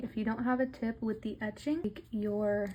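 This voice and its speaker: A woman speaks at a moderate pace with a fairly high pitch and a dark, mellow tone. Her voice is somewhat breathy, and her intonation stays fairly even. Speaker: nail tutorial creator. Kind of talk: tutorial. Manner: casual, conversational.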